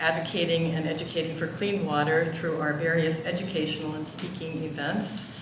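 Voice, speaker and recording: A woman at a fairly low pitch and moderate pace, with noticeable background noise and audible room echo. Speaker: board member. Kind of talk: formal report speech. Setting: church meeting with audience. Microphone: too far from mic at first.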